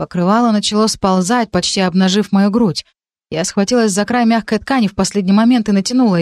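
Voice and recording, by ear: With the background quiet, a natural voice reads aloud.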